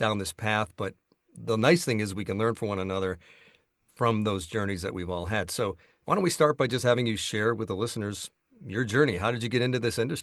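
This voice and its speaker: A man with a normal speaking voice talks at a fairly quick pace, his pitch fairly low and its variation ordinary, on a very clean recording with a silent background. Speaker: voice actor and audiobook narrator. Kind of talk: podcast host interview.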